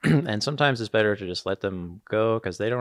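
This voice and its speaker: A man mumbles at a very fast pace with ordinary pitch variation. The sound is dry and close with no echo, against a quiet background. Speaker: live sports video director. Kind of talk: casual chat. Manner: tends to mumble; hesitant, many fillers.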